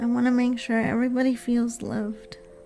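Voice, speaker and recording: A soft-spoken, calm voice, monotone and flat, at a fairly slow pace with music in the background. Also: woman. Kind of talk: ASMR stream talk. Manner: slow, calm.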